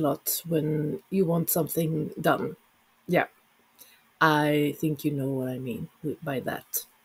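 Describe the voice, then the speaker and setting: The speech moves at a very slow pace with a Swedish accent. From Sweden. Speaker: knitting vlogger. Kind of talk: casual vlog talk. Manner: halting, many fillers.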